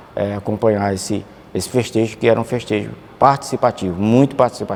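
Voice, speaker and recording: At a very fast pace, a man with a fairly low voice speaks with fairly even intonation. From Campo Maior, Piauí, Brazil. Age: 60s. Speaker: former student. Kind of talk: documentary interview testimony.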